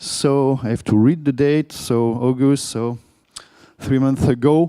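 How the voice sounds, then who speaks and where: A man's dark, mellow voice at medium pitch, fairly slow in pace, with fairly even intonation. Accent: French. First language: French. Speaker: conference speaker, product manager. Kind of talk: conference talk.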